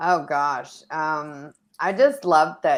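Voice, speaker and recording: A woman with an American accent is heard in a very clean recording against a silent background. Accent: semi-New York. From New York. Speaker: actress. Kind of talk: interview.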